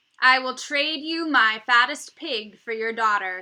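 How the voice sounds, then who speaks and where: A woman talks fairly slowly in a put-on character voice. Her pitch is high. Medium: read story.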